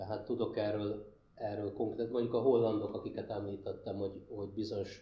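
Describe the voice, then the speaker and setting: Somewhat breathy and fairly low in pitch, a man speaks at a moderate pace with monotone, flat intonation amid audible room echo. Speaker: human ecologist, university lecturer. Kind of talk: panel discussion Q&A. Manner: hesitant, repeats words.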